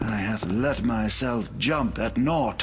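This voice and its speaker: A man's put-on character voice at medium pitch and a fairly slow pace, over clear background noise. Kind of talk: archaic pious speech. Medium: video game.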